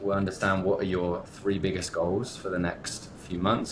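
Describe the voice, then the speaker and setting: Talking at a fairly quick pace, a man with a West Country accent has a fairly low pitch. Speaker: entrepreneur and business coach. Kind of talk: podcast interview.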